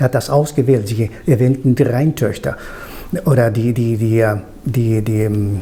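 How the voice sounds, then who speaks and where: With a Spanish accent, a man speaks at medium pitch and a fairly slow pace with ordinary pitch variation over noticeable background noise. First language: Spanish (speaking German). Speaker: interviewer. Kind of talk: interview.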